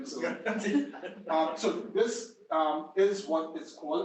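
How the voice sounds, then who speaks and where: The pitch swings very widely throughout. Background noise is noticeable. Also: man. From Trinidad and Tobago. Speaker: city manager. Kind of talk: guest speaker briefing at a meeting. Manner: casual, conversational.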